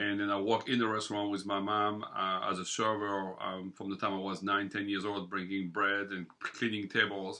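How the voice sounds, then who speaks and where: A man's bright, sharp tone in a monotone, flat delivery with hardly any pauses. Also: fairly low pitch for a man, moderate pace. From southern France. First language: French. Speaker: bakery owner. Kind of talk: interview.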